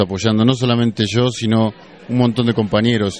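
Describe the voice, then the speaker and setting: Over crowd noise in the background, a man talks at a moderate pace in a fairly low pitch. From Argentina. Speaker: activist. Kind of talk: interview answers.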